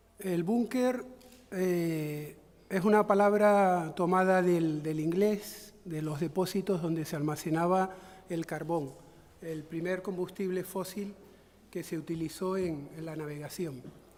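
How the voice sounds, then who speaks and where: A high-pitched man at a very slow pace, fairly even intonation, audible room echo. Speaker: conference speaker. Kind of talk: lecture. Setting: conference with audience. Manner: halting.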